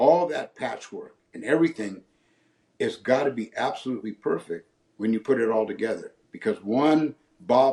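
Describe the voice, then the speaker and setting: A man's normal speaking voice at medium pitch, with an American accent and lively intonation. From San Francisco Bay Area, California. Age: 60s. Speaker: retired race car driver. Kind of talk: interview answer.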